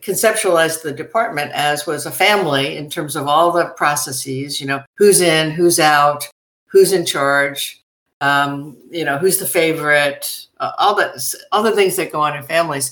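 A woman with an American accent speaks at a moderate pace in a fairly low voice with ordinary pitch variation, an unremarkable speaking voice. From US Northeast, New York City. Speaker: university president. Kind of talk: interview.

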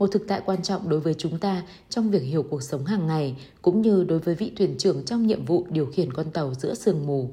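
Somewhat breathy and dark, mellow in tone, a woman talks at a fairly quick pace with fairly low pitch and lively intonation. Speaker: audiobook reader. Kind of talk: reading aloud.

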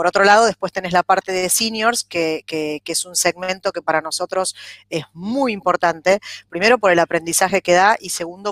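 An unremarkable speaking voice from a woman at a medium pitch and moderate pace, with fairly even intonation, big swings in loudness and a dry, close sound with no echo. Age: 40s. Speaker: human resources director. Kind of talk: interview.

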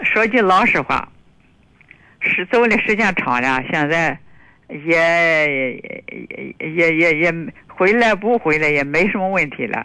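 A woman speaks very slowly in a bright, sharp tone, her fairly low pitch rising and falling with lively intonation between long, frequent pauses. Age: 70s. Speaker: caller. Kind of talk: phone-in conversation. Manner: halting.

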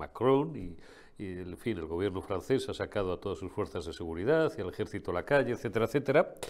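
A man speaks at a very fast pace in a fairly low pitch, with very wide pitch swings and big shifts in loudness. The recording is very clean, with a silent background. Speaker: political commentary show host. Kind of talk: political commentary. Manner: animated.

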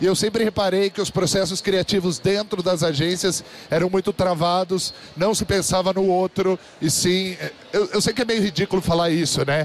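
A high male voice at very even loudness over noticeable background noise. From Brazil, São José dos Campos, interior of São Paulo. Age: 30s. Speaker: podcast host and conference speaker. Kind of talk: live talk to an audience. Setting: stage with audience. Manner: animated.

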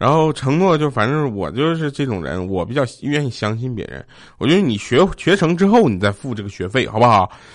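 Against a quiet background, a man at a medium pitch speaks with very wide pitch swings. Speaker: podcast host. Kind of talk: casual comedic monologue reading funny stories.

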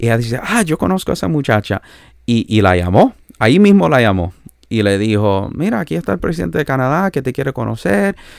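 A man at a fairly quick pace, with very wide pitch swings. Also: medium pitch for a man. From Canada, born in El Salvador. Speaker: pastor and itinerant preacher. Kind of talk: interview, personal testimony. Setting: remote call.

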